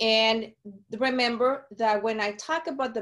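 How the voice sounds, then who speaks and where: With a Mexican accent, the speaker moves at a fairly slow pace against a quiet background. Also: woman. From Sonora, Mexico. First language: Spanish. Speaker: community outreach speaker. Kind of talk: webinar presentation.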